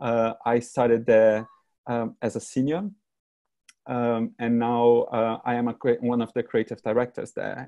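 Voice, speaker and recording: Over a quiet background, a man with a Brazilian Portuguese accent speaks at a moderate pace and a medium pitch in a dark, mellow tone. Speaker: creative director. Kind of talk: presentation talk. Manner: hesitant, many fillers.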